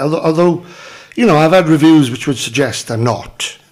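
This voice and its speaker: Over noticeable background noise, a man with a South Wales Valleys accent speaks at a fairly high pitch. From Wales, south Wales valleys (Merthyr area). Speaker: actor. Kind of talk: casual chat.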